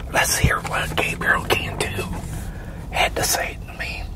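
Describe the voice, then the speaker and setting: A man is whispering. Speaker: YouTube creator. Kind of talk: casual vlog chat, reading a letter aloud. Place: car. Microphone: lapel.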